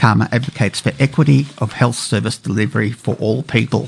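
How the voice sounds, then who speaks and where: Noticeable background noise sits behind a man with an Australian accent. He talks at a fairly quick pace with ordinary pitch variation. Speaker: radio co-host. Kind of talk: casual radio talk show. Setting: studio.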